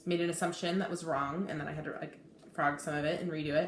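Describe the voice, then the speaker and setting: Over noticeable background noise and audible room echo, a woman speaks in a fairly low voice. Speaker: cross-stitch video blogger. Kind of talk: casual hobby vlog. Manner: fast; hesitant, many fillers.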